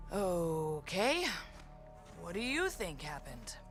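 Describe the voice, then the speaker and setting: A woman uses a cartoonish character voice at a fairly slow pace, with clear music in the background. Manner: blunt, irreverent.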